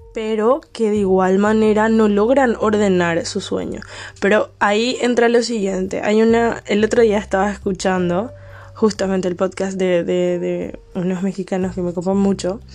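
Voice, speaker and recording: A woman speaks in an unremarkable speaking voice at medium pitch. Her pace is moderate and her intonation fairly even. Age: 20s. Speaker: podcaster. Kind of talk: casual monologue. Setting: at home late at night.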